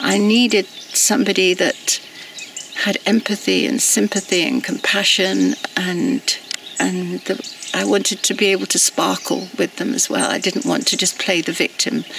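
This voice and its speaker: The woman keeps her loudness very even at a moderate pace. Noticeable background noise sits behind her. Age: 70s. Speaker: activist. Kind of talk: personal reflection monologue. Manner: halting.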